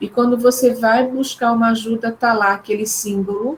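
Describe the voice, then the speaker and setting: Using a normal speaking voice, this woman talks at a fairly high pitch and a moderate pace. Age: 60s. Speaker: psychologist, neuropsychologist, professor. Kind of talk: online talk.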